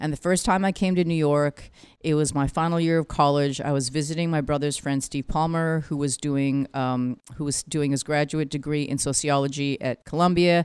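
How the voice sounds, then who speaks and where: On a very clean recording with a silent background, a woman speaks in a very deep, low voice. Her pace is moderate and her intonation fairly even. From Vancouver, Canada. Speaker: music executive and author. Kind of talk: interview. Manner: emotional.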